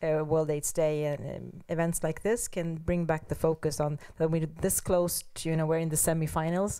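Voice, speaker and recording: A woman with a fairly low pitch talks in a monotone, flat intonation, with hardly any pauses, over a quiet background. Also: moderate pace. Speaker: panelist. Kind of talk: panel discussion. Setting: seminar with audience. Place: hall. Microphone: handheld.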